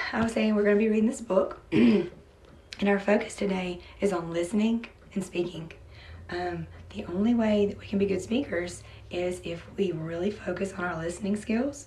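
Audible room echo surrounds a woman of medium pitch. She speaks at a moderate pace with fairly even intonation and long, frequent pauses. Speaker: teacher. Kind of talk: classroom lesson.

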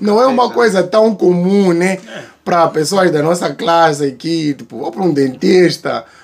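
Over light background noise, a man with a high pitch speaks at a moderate pace in an animated tone with ordinary pitch variation. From Mozambique. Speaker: YouTuber reacting to videos. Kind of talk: casual reaction commentary. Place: garden. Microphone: phone near.

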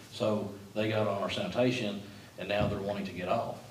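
In a fairly low, monotone, flat voice, a man speaks at a fairly quick pace, with audible room echo and light background noise. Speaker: city official reporting to commission. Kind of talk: meeting discussion. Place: meeting room. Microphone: camera far.

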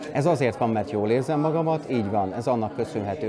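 A man speaks at a fairly quick pace with ordinary pitch variation. Noticeable background noise sits behind him. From Hungary. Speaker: event host and cultural organizer; event host. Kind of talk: interview. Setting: indoors at a summer camp. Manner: hesitant with word repetitions. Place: hall.

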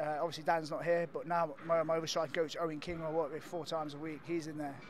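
A man speaks in a dry sound with no echo and light background noise. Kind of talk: interview answer. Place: hall. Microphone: handheld.

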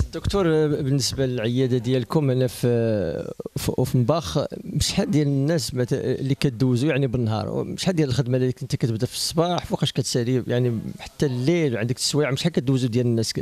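At a fairly quick pace, a man speaks in a dry sound with no echo. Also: medium pitch for a man, ordinary pitch variation. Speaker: interviewer for web channel. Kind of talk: interview. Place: office. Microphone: handheld.

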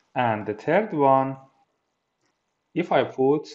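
A man at medium pitch, speaking at a slow pace with ordinary pitch variation

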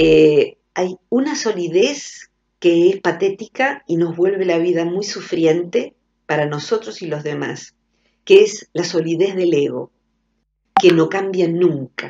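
A woman with a fairly low pitch, speaking at a very slow pace. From Argentina. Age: 50s. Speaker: psychologist; radio guest. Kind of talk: radio interview. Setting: phone call. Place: studio.

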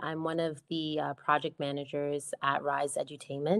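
A woman with a Toronto accent talks at a moderate pace against a quiet background. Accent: Toronto Canadian. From Scarborough, Toronto; Ontario. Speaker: project manager; event host. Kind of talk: presentation. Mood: warm, friendly. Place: home room. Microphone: video call.

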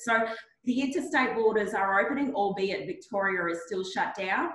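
Audible room echo follows a woman with an Australian accent. She keeps a moderate pace with ordinary pitch variation. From Mount Isa, outback Queensland; Queensland. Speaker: regional economic development executive; panelist. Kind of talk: webinar panel discussion. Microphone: video call.

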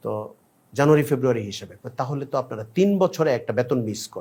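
A man with a fairly high pitch speaks with lively intonation in an ordinary speaking voice. The recording is very clean, with a silent background. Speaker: Islamic scholar / preacher. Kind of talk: religious talk.

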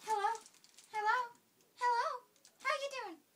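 A put-on character voice sounds squeaky at an extremely high pitch. Its pace is moderate. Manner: silly, playful.

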